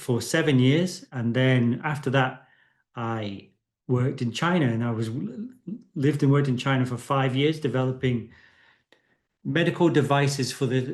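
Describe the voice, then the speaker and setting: Moderate in pace, this man's speech has ordinary pitch variation. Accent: British. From UK. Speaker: medtech consultant and engineer. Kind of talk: webinar presentation. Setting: online webinar. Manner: hesitant with fillers.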